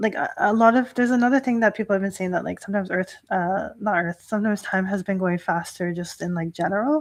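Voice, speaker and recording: In a normal speaking voice with a Canadian accent, a woman talks at medium pitch and a fairly quick pace with ordinary pitch variation over a quiet background. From Canada, Toronto. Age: 30s. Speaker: Shinto priestess. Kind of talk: live stream talk. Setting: livestream. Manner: casual with many fillers.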